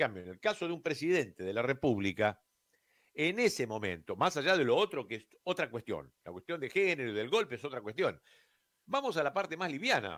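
A man speaks at a fairly quick pace with vocal fry and very wide pitch swings. His loudness swings a lot, and the background is quiet. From Argentina. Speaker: radio host and broadcasting teacher; radio show host. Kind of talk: radio monologue. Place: studio. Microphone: studio mic.

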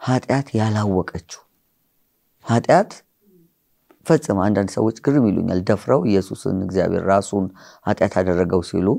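A man's fairly low, dark and mellow voice, with ordinary pitch movement, very even loudness and a quiet background. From Ethiopia, grew up in Hawassa; Ethiopia. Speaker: pastor and author; pastor. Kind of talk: interview. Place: studio. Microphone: lapel.

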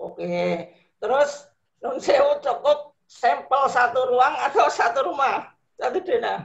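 A high-pitched male voice against a quiet background. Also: fairly slow pace. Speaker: vocational teacher trainee. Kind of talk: question in online class. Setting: video call. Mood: polite inquiring. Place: home room. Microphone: video call.

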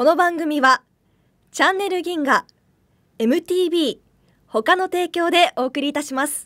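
A woman with an extremely high pitch, ordinary pitch variation and big swings in loudness, at a moderate pace over a quiet background. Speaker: student announcer. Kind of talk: radio variety show hosting. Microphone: studio mic.

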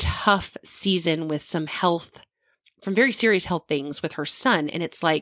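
In an ordinary speaking voice, a woman talks with a fairly low pitch and ordinary pitch variation, the sound dry with no echo against a quiet background. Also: fairly slow pace. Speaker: podcast co-host. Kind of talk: casual podcast conversation. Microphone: studio mic.

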